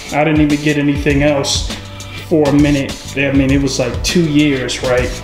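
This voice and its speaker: Clear music plays in the background while a man talks at a fairly quick pace. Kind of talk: casual vlog chat. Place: garage. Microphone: phone near.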